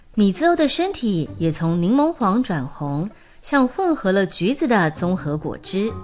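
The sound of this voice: The reading is done in an unforced voice.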